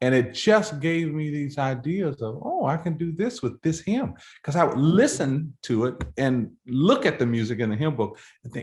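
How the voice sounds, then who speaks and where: A man with an American accent speaks at a moderate pace, fairly high in pitch, with lively intonation. His voice is somewhat breathy over a quiet background. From Florida. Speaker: composer and choral conductor. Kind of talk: interview. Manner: conversational, with frequent fillers and restarts.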